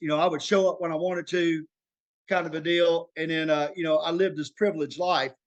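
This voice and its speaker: A man speaks in a fairly high pitch with an Arkansas accent. His delivery is very fast and flat, in a monotone. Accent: Southern US (Arkansas). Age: 40s. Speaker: former prisoner sharing recovery story. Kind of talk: interview testimony. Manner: halting, many fillers.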